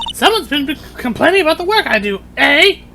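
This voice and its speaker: A woman uses a put-on character voice at an extremely high pitch and a fairly quick pace, over clear background noise. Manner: menacing, theatrical.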